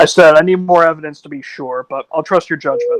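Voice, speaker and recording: At a fairly quick pace, a man uses a put-on character voice with a high pitch and big swings in loudness. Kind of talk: in-character tabletop roleplay. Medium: actual play. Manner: questioning, casual.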